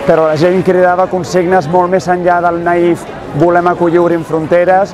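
Crowd noise sits behind a man talking at a high pitch and a fairly quick pace. The sound is dry with no echo, and his intonation is monotone and flat. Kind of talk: interview answer.

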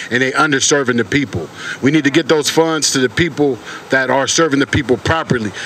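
Fairly quick male speech over light background noise. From San Francisco, Bayview/Hunters Point; California. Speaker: community activist; speaker. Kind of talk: rally speech. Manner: animated. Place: street.

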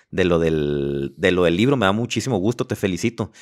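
With vocal fry and very wide pitch swings, a man speaks in a very deep, low voice. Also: quiet background. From Mexico, Los Mochis, Sinaloa; Sinaloa, Mexico. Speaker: podcast host and life coach; podcast host, life coach. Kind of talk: casual interview chat. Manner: repeats words, halting. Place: studio. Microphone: studio mic.

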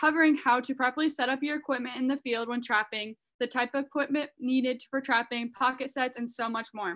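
A woman speaks in a high voice at a fairly quick pace with hardly any pauses. Her intonation stays fairly even over a quiet background. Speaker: webinar host. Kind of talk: webinar introduction. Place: home room. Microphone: video call.

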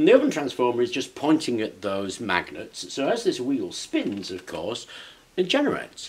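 A man's voice at a moderate pace. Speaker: maker demonstrating a build. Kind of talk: tutorial. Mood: cheerful, amused. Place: workshop. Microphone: phone near.

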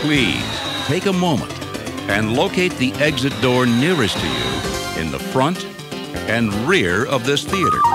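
Loud music plays in the background while the voice moves at a fairly slow pace. The sound is dry with no echo. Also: man. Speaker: theatre announcer. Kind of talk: theater exit announcement, instructional PA-style read. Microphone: old recording.

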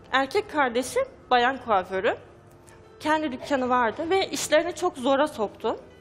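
Faint music plays behind a woman with a high pitch. She speaks at a fairly slow pace. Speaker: talk show guest. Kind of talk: interview answer. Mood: sad, troubled. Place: studio. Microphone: headset.

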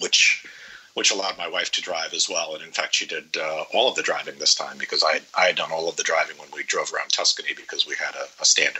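A man talks very fast, his loudness swinging widely, over noticeable background noise. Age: 50s. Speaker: traveler guest. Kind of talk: casual interview, trip report.

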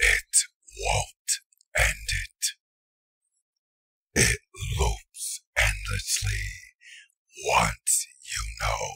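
A man puts on a raspy character voice. He speaks at a very slow pace with long, frequent pauses. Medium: dub. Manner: ominous, calm.

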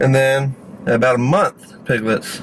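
A man is speaking over light background noise. The sound is dry, with no echo. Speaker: food reviewer. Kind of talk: casual vlog chat. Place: car. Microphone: phone near.

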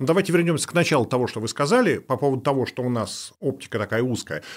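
Very wide pitch swings mark a man's very fast speech. The background is quiet. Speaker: guest. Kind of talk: interview answer. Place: studio. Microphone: studio mic.

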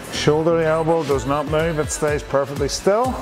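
Over clear background music, a man speaks at a moderate pace. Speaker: fitness instructor. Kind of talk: workout instruction. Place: gym.

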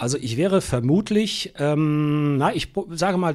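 With an unremarkable speaking voice, a man talks at a fairly high pitch with lively intonation. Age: 60s. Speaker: radio editor-in-chief. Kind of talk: interview.

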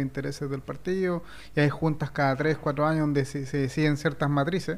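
The speaker moves at a fairly quick pace in a monotone, flat intonation. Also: man. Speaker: political panelist; panelist. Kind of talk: panel discussion. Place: studio. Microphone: studio mic.

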